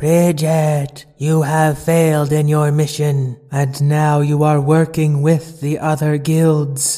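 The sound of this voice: A man's booming put-on character voice, fairly high in pitch, fairly slow and flat in a monotone. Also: hardly any pauses.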